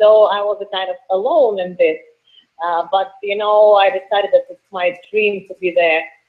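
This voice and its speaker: A woman speaks at a moderate pace and medium pitch with a strong Russian accent. Her intonation stays fairly even while her loudness swings widely. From Russia, Moscow. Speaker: professional wrestler. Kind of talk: interview. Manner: halting.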